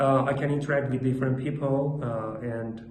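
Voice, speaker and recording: A man with a non-native accent speaks at medium pitch with fairly even intonation. Noticeable background noise and audible room echo accompany him. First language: not English. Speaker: English learner practicing speaking. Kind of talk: monologue speaking practice. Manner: halting, many fillers.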